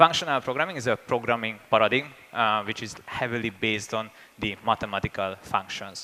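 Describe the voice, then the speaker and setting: With a Hungarian accent, a man talks at a moderate pace and a medium pitch. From Hungary. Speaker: software engineer and conference speaker. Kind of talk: conference talk. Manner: hesitant, many fillers.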